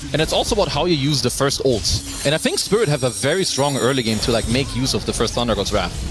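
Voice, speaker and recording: With music in the background, a man with a non-native accent speaks at a very fast pace and medium pitch, his intonation lively, his loudness very even and his pauses hardly any. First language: not English. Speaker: esports commentator. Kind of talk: live commentary.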